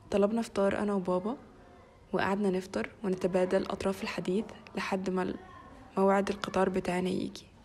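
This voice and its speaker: A woman with a Cairo accent speaks at a moderate pace and medium pitch. Her intonation is flat and monotone, with noticeable background noise. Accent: Egyptian Arabic (Cairo). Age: 20s. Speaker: vlogger. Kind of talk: vlog narration.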